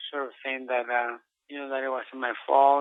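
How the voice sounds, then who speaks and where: A man of medium pitch with monotone, flat intonation. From Mexico. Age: 40s. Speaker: retired boxer. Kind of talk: interview. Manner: halting, with many repetitions.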